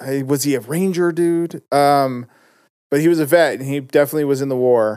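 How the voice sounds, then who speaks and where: An ordinary speaking voice comes from a man with fairly high pitch at a moderate pace. The recording is very clean, with a silent background. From Utah (West Valley). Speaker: rapper. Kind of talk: casual interview. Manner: casual, laughs often.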